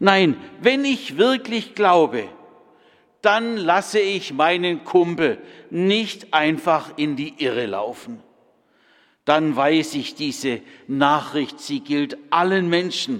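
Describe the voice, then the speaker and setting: A man with a high pitch and very wide pitch swings at a very slow pace, with long, frequent pauses. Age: 60s. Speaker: preacher. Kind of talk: sermon.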